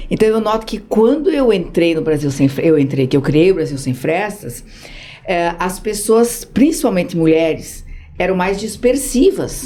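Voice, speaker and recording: At a fairly slow pace, a woman with a medium pitch and a dark, mellow tone speaks in very wide pitch swings. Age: 60s. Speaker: social project founder. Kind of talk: podcast interview.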